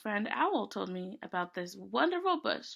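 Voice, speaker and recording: A woman's put-on character voice at a medium pitch and moderate pace. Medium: read story.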